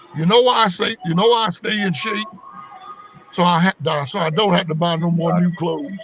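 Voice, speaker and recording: Over noticeable background noise, a man with an American accent talks in an animated tone, high-pitched and at a fairly quick pace. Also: ordinary pitch variation. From US South, North Carolina family roots. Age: 60s. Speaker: comedian. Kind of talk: interview.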